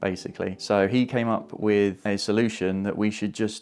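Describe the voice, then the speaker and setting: Speaking with an English accent, a man uses a fairly low pitch and fairly even intonation at a moderate pace. The recording is very clean, with a silent background. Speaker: YouTuber. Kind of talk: tutorial. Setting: home. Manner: casual.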